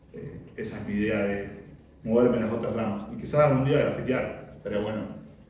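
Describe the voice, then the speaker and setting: A man talks at a fairly quick pace with a medium pitch and fairly even intonation. Noticeable background noise and audible room echo are present. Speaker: freestyle rapper and workshop teacher. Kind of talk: casual interview.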